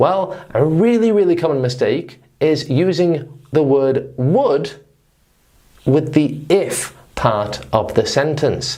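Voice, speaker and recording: Very slow speech in a northern English accent. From northern England. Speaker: English teacher. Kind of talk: lesson.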